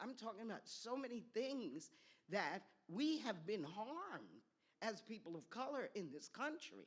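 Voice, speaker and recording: At a fairly slow pace, the voice carries vocal fry and very wide pitch swings. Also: woman, fairly high pitch for a woman. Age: 70s. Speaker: professor, audience questioner. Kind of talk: audience question. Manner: emphatic.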